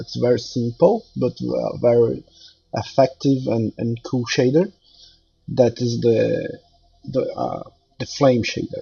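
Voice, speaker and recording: Speaking very slowly with long, frequent pauses, a man talks in a Brazilian Portuguese accent. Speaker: 3D artist. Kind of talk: tutorial. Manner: halting, many fillers.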